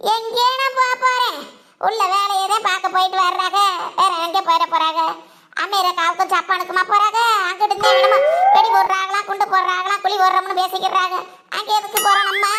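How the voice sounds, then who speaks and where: This cartoonish character voice moves at a moderate pace. Its intonation stays fairly even. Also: woman, extremely high pitch for a woman. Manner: smug, boastful.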